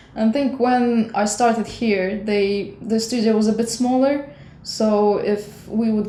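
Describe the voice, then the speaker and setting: With fairly even intonation and medium pitch, a woman's voice carries audible room echo. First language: not English. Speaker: animator and designer. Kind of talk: interview. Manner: halting.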